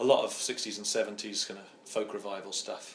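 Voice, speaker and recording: Amid noticeable background noise and audible room echo, a man with an English accent speaks at a moderate pace. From England, East Midlands (Oakham, Rutland). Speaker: singer-songwriter. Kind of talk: interview. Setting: home.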